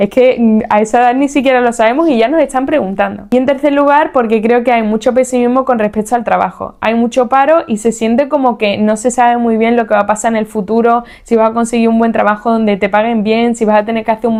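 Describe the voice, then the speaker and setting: A woman has a plain, everyday voice with a fairly high pitch, fairly even intonation and very even loudness. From Spain, Seville (Andalusia). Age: 30s. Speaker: podcast host. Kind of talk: podcast monologue.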